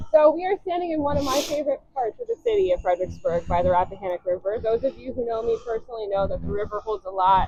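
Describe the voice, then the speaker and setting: Loud and very fast, a woman speaks with an American accent. Her fairly high pitch swings very widely. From California. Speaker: museum curator and tour guide. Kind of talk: guided walking tour. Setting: outdoors by a river. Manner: trying to speak louder.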